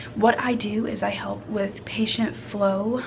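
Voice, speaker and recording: With an American accent, a woman whispers over noticeable background noise. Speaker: vlogger. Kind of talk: casual vlog talk. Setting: workplace, doctor's office. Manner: whispering.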